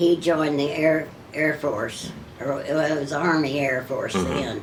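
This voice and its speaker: There is noticeable background noise. A woman with a very deep, low pitch speaks at a fairly slow pace. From Kentucky. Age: 80s+. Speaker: WWII factory riveter. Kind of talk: interview answer.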